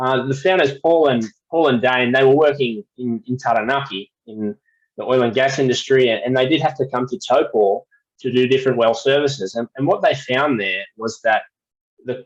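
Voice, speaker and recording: A medium-pitched man's voice with a strong Australian accent. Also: ordinary pitch variation, moderate pace, dry, close sound with no echo. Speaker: well services company representative. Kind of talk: webinar presentation. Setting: video call webinar. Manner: repetitive false starts.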